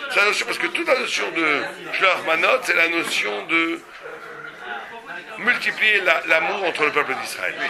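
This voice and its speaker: A man speaks at a high pitch and fairly slow pace, with very wide pitch swings and long, frequent pauses. Noticeable background noise and audible room echo fill the recording. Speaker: rabbi teaching a Torah class. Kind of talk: Torah lecture with audience questions. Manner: animated.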